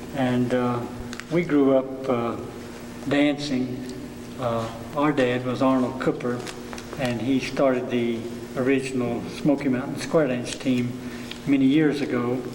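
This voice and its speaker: A man with an Appalachian accent speaks fairly slowly at medium pitch, his intonation monotone and flat, with long, frequent pauses. Room echo is audible, and there is noticeable background noise. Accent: Appalachian Southern US. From western North Carolina (Cherokee, Swain County). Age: 60s. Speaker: traditional dancer. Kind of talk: oral history interview. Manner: hesitant, many filler uhs.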